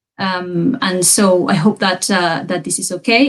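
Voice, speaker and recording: A woman speaks with a Spanish accent. Her voice is somewhat breathy. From Peru. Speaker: university researcher, lecturer. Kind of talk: academic lecture. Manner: hesitant, many fillers.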